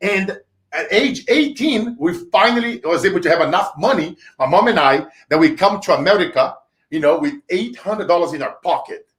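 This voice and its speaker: In a Brazilian Portuguese accent, a man with a high pitch and an animated tone speaks at a moderate pace, his pitch swinging very widely. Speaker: entrepreneur, sales trainer. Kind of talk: interview, storytelling. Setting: live stream interview.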